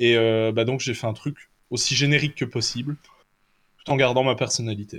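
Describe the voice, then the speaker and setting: At a moderate pace and a medium pitch, a man speaks in a flat monotone with long, frequent pauses, on a very clean recording over a silent background. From Belgium. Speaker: tabletop role-playing game designer. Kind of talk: casual chat.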